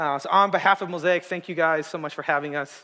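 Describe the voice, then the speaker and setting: Bright and sharp in tone, the voice has a West Coast US accent, a moderate pace and ordinary pitch variation. The recording is very clean, with a silent background. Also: man. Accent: General American, West Coast. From Arizona, Tucson. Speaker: guest preacher. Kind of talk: sermon. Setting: church stage with audience. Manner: casual, with many filler words.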